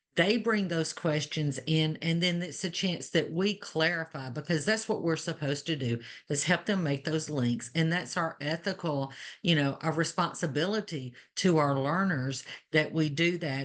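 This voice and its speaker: The speaker has an Alabama accent and ordinary pitch variation. The pace is moderate and the background quiet. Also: woman, very deep, low pitch for a woman. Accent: Alabama Southern. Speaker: nursing educator. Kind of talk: webinar panel discussion.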